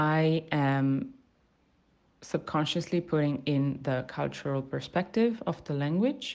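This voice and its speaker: A woman speaks at a very slow pace over a quiet background. Her pitch is very deep and low. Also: ordinary pitch variation. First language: Italian. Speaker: university student. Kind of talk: spoken language sample, reflective monologue. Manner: hesitant, many fillers and restarts.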